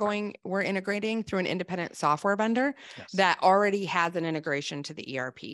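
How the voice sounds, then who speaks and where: An American-accented woman speaks at a fairly quick pace, her medium pitch showing ordinary variation. The background is quiet. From Wisconsin. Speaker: sales executive. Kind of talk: live webinar interview. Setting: video call. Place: office. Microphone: studio mic.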